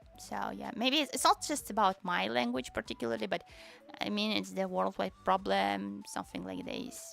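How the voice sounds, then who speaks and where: With music in the background, a woman talks at a moderate pace in a Tatarstan accent. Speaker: vtuber streamer. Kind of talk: casual livestream chat.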